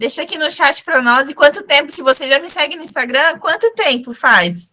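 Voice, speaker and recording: At a moderate pace, a woman speaks in a raised, projected voice with a high pitch. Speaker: fashion brand instructor. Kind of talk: live online class. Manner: direct.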